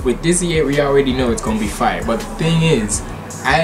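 Clear music plays in the background. Over it, a man talks with ordinary pitch variation. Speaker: reaction video creator. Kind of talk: casual vlog chat. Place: home room. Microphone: webcam.

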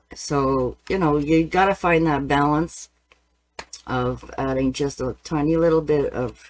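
Her pitch very deep and low, a woman speaks at a fairly slow pace with fairly even intonation. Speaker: painting teacher. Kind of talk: tutorial. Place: studio. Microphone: webcam.

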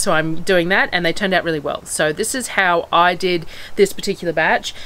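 A woman's fairly low voice at a very fast pace. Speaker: homestead vlogger. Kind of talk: casual vlog chat. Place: open country. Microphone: phone near.

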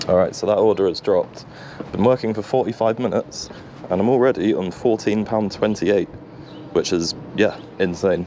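A man with a plain, everyday voice talks at a moderate pace and fairly low pitch, showing ordinary pitch variation, in a dry recording with no echo and light background noise. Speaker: food delivery rider vlogger. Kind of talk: casual vlog chat. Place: bicycle. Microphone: phone near.

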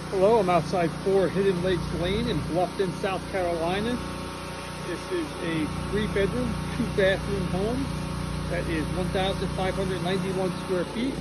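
A man talking fairly slowly over loud background noise. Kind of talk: property tour narration. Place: street. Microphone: phone near.

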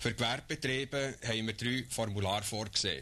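Bright, sharp tone with vocal fry, ordinary pitch variation and a moderate pace. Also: man. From Switzerland. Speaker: official explaining census. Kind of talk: scripted official explainer narration. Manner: formal, measured, earnest official tone. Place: studio. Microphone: old recording.

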